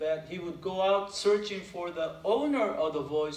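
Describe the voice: Pitch varies in an ordinary way during plain reading aloud.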